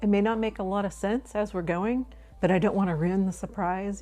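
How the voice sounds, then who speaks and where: With music in the background, a woman speaks at medium pitch and a moderate pace. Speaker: DIY crafts vlogger. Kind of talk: tutorial narration; casual vlog talk to camera. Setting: home. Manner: casual, chatty with fillers. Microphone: new microphone, first use.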